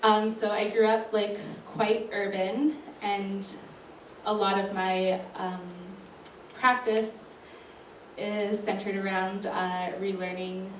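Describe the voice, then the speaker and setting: Amid audible room echo and noticeable background noise, a woman with a Canadian accent speaks very slowly at a medium pitch in a flat monotone, with long, frequent pauses. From Canadian Prairies (Regina, Saskatchewan). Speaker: artist. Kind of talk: panel talk. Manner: hesitant, many fillers.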